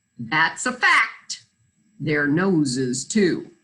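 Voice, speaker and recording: Putting on a character voice, a woman speaks at a fairly low pitch with very wide pitch swings. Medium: read story. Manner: courteous.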